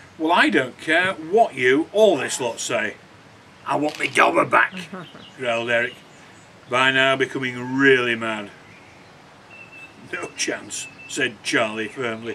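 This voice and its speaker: Noticeable background noise sits behind a man speaking at a fairly slow pace with long, frequent pauses. His pitch is medium, with ordinary variation. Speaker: author. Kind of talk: reading aloud from own children's novel.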